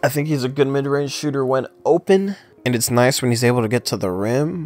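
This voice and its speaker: The speech moves at a fairly quick pace with ordinary pitch variation, over noticeable background noise. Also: man. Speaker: sports commentator. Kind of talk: casual talk to camera.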